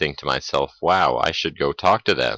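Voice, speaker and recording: A mumbling man with a bright, sharp tone. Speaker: gamer commentator. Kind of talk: gameplay commentary. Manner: mumbling, hesitant.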